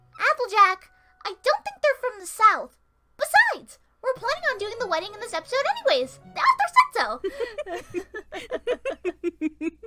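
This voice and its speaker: A female-sounding put-on character voice, pitched extremely high, comes with long, frequent pauses. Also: moderate pace. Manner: upbeat.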